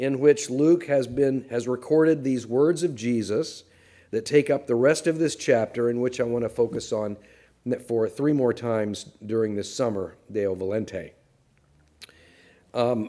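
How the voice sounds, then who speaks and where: Dark, mellow tone from a man at a fairly slow pace, with ordinary pitch variation and a quiet background. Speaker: pastor. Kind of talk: sermon. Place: church. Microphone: podium.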